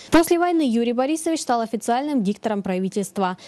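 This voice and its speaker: The pace is very fast, with lively intonation. The tone is dark and mellow. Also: woman. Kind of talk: TV news feature narration.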